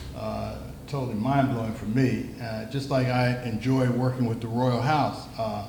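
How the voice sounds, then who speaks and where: A man speaks at a moderate pace in monotone, flat intonation. Noticeable background noise and audible room echo surround him. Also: medium pitch for a man. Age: 70s. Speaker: talk show host. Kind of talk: casual interview chat. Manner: halting, many fillers.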